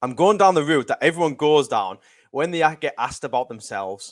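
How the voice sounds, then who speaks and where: With a Cumbrian accent and lively intonation, a man speaks in a very clean recording against a silent background. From northern England, West Cumbria. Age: 30s. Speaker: self-development coach. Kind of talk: podcast interview.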